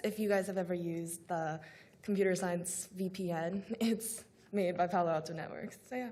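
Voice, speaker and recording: At a moderate pace, a woman speaks with a medium pitch, a dark, mellow tone and fairly even intonation. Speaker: student intern panelist. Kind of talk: panel discussion.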